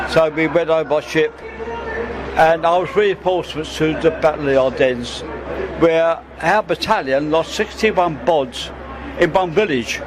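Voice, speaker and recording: A man with a fairly high voice keeps his loudness very even, leaving long, frequent pauses. Noticeable background noise runs underneath. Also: ordinary pitch variation, moderate pace. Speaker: war veteran. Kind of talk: interview.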